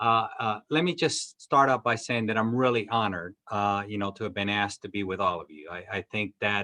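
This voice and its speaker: A man talks at a fairly quick pace with hardly any pauses, his bright, sharp tone fairly low in pitch. His loudness swings widely, his pitch varies in an ordinary way, and the sound is dry and close with no echo. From Cuba, raised in US Midwest from age 11. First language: Spanish. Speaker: cinema chain executive. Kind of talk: interview. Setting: video call.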